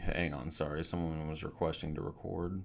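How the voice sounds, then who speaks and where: The speaker is a man. He keeps a moderate pace with ordinary pitch variation. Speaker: software trainer. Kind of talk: webinar tutorial. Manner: loud.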